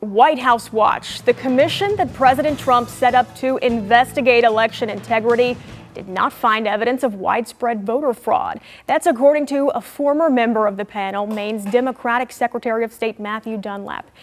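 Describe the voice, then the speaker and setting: Over music in the background, a woman talks at a fairly quick pace with a high pitch and ordinary pitch variation. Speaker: news anchor. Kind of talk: TV news anchor read. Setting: studio.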